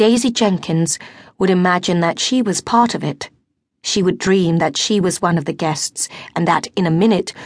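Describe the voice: Plain reading aloud with ordinary pitch variation comes through over a quiet background.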